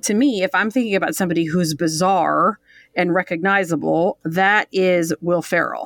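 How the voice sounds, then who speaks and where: An unremarkable speaking voice with an American accent, at a moderate pace, in a dry, close sound with no echo. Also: woman. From Detroit, US Midwest. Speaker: instructor and voiceover artist. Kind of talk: casual chat. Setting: remote call. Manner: playful.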